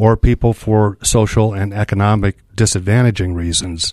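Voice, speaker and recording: Recorded very cleanly against a silent background with a dry, close sound and no echo, a man with a Michigan accent speaks at a moderate pace in a fairly low, monotone, flat voice. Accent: Upper Midwest (Michigan) American. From Muskegon, Michigan. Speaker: nonprofit executive. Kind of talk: interview.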